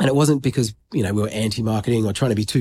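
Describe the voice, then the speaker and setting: Talking at a very fast pace, a man has a dark, mellow tone on a very clean recording with a silent background. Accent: Australian. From Australia, New South Wales south coast. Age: 40s. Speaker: grooming brand founder. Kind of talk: casual interview. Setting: stage in a private members' club, in person.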